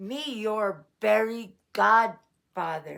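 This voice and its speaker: A woman growls in a put-on character voice. It sounds gruff, with a fairly high pitch. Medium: read story. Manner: blunt broken speech.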